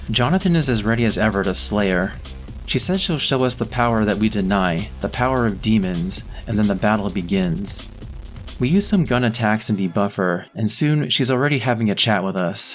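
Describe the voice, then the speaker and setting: Over music in the background, a man talks at a fairly quick pace in a fairly low pitch, his intonation lively and his loudness very even. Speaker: gaming commentator. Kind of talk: game plot commentary.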